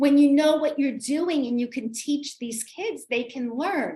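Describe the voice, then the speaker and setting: A woman's high-pitched voice in a New York accent. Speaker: literacy coach and author. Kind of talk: community talk with Q&A.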